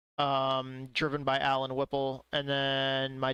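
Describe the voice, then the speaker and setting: A man with an American accent speaks at a fairly slow pace and medium pitch, his bright, sharp tone delivered in a monotone, flat intonation with a dry, close sound and no echo. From US Northeast. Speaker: sim racing streamer. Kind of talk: casual live-stream chat.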